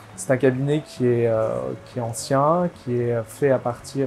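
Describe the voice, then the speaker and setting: Over noticeable background noise, a man speaks at a very slow pace with ordinary pitch variation. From southwest France (Bergerac / Bordeaux area). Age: 20s. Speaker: antiques dealer. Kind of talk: interview testimony. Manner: hesitant, many fillers.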